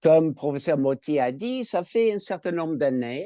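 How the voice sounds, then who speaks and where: In an American accent, a man speaks with a dark, mellow tone and lively intonation, the sound dry and close with no echo and the background quiet. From California, US. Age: 70s. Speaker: cancer patient, retired school administrator. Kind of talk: patient testimony in webinar. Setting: online webinar.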